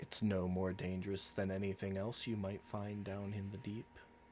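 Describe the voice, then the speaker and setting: Putting on a character voice, a man speaks at a fairly low pitch and a moderate pace in a flat monotone, with clear background noise behind him. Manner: soothing.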